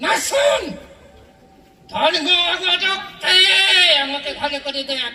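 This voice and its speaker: A man puts on a character voice with an extremely high pitch, speaking at a fairly slow pace with a clear echo. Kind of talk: comedy stage act.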